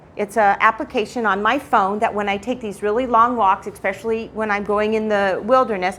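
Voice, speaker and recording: A woman with a fairly high pitch speaks at a fairly quick pace with hardly any pauses. Her intonation is monotone and flat. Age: 60s. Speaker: retired teacher sharing testimony in church. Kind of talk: church talk / testimony. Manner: casual, conversational.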